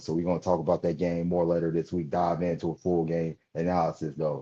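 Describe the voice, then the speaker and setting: A man's very deep, low voice with a dark, mellow tone at a fairly quick pace. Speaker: basketball podcast host. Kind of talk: sports analysis commentary. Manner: fast; animated.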